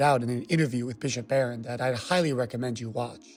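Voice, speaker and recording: A man is heard. He speaks at a medium pitch. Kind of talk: film review commentary.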